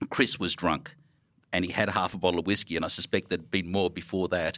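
A man with an Australian accent, bright and sharp in tone, on a very clean recording with a silent background. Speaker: record label founder and record store owner. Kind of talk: live panel conversation. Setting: stage with audience.

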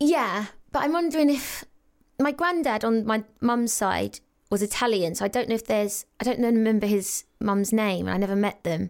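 With an English accent, a woman speaks at a moderate pace in a fairly high pitch, her intonation lively and her loudness very even, on a very clean recording with a silent background. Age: 30s. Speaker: actress and reality star. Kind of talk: casual chat.

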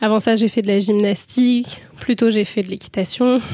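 A woman's fairly high voice, dark and mellow in tone, at a moderate pace with fairly even intonation. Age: 20s. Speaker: medical student and amateur rugby player. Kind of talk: interview testimony. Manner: hesitant, many fillers.

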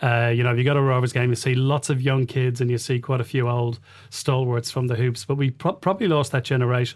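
This man talks at a very fast pace with a Dublin accent, his pitch medium, his intonation fairly even and his loudness very even. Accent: Dublin Irish. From Ireland, Dublin (Rialto, Liberties). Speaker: football club investor. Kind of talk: interview. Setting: studio. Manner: hesitant, many filler sounds.

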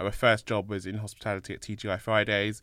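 In a London accent, a man with a bright, sharp tone and fairly low pitch speaks at a fairly quick pace on a very clean recording with a silent background. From London, England. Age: 30s. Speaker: inclusion consultant, co-founder. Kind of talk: casual interview chat.

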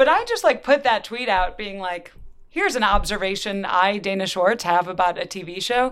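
A woman speaks in a normal speaking voice, with big swings in loudness and ordinary pitch variation. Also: medium pitch for a woman, moderate pace. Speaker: writer and podcast host. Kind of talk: interview.

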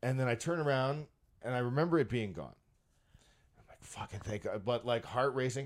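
Very fast speech from a man at a medium pitch, with ordinary pitch variation, on a very clean recording with a silent background. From Canada, Brampton, Ontario. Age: 40s. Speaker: comedian and magician. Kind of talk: casual chat. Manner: animated.

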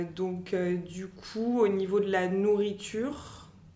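Amid audible room echo, a woman at a medium pitch speaks very slowly with fairly even intonation. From France, Algerian family. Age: 30s. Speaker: e-commerce manager. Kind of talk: personal testimony interview.

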